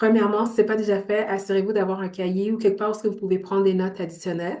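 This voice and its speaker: Noticeable background noise sits behind a woman with a Montreal accent. Her medium pitch holds a fairly even intonation. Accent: Montreal Quebec French. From Montreal, Quebec. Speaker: entrepreneur and business coach. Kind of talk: online workshop presentation.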